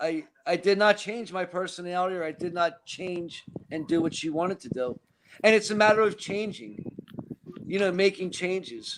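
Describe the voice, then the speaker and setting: With a Philadelphia accent, a man speaks at a high pitch and a moderate pace, showing ordinary pitch variation and big swings in loudness. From Philadelphia, US Northeast. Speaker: recovering alcoholic. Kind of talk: casual chat.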